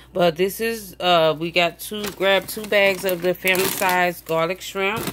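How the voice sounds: A woman speaks at a fairly slow pace with a fairly low pitch. Her tone is fairly bright and her intonation fairly even.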